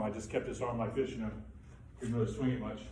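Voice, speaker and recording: A man talks at a medium pitch with fairly even intonation. Audible room echo and noticeable background noise surround his voice. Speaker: Parkinson's patient sharing experience. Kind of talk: testimony. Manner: halting.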